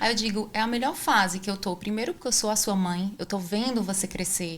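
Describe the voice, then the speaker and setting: This woman speaks with a northeastern Brazilian accent. Her pitch variation is ordinary. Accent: northeastern Brazilian (Ceará). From Brazil, Ceará (Fortaleza). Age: 40s. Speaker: podcast host. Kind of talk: casual interview chat. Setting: studio in São Paulo.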